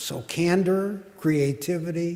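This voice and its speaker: A man's fairly high-pitched voice at a very slow pace, with ordinary pitch variation over noticeable background noise. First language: Yiddish. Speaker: panelist. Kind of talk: panel discussion.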